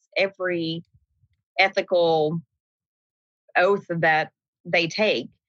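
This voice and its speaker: A bright, sharp tone in an East Tennessee accent. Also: woman, dry, close sound with no echo. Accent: Southern US, East Tennessee. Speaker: nurse manager.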